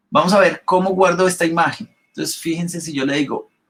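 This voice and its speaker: Ordinary pitch variation marks this man's speech. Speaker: Photoshop instructor. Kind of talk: live online class tutorial. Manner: fast when excited.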